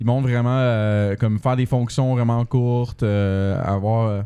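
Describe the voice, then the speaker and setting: The pace is moderate. The tone is dark and mellow. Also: man. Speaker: software developer, podcast co-host. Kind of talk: casual chat.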